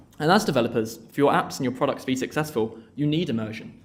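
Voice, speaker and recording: Amid audible room echo, a man with a medium pitch speaks at a very fast pace with fairly even intonation. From Essex, England. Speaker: conference speaker, developer advocate. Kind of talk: tech talk. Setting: stage with audience.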